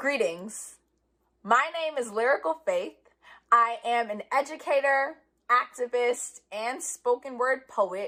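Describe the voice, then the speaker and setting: Very slowly, a woman speaks with an American accent. Her pitch is high with ordinary variation, and her tone is bright and sharp. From New York City, the Bronx. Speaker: spoken word poet. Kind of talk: spoken word performance. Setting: live stream from home.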